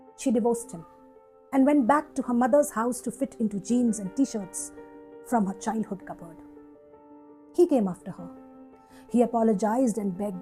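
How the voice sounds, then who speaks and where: Music plays behind a woman speaking at a moderate pace and a fairly high pitch, with lively intonation. Her loudness swings widely, and she takes long, frequent pauses. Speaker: poet. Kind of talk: poetry reading.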